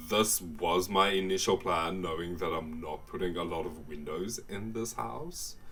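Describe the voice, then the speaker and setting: A man with a South African accent, a very deep, low pitch and a fairly slow pace, amid audible room echo. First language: Afrikaans. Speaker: gaming YouTuber. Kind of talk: casual voiceover commentary. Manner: casual, hesitant.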